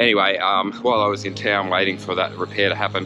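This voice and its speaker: A man at a fairly quick pace, with clear music in the background and a dry sound with no echo. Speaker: cycling vlogger. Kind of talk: casual vlog chat. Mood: relaxed, humorous. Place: bicycle. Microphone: phone near.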